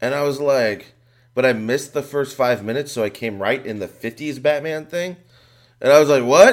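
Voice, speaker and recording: A man with a normal speaking voice, a fairly high pitch and ordinary pitch variation. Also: moderate pace. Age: 30s. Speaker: comedian and writer. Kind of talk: casual chat.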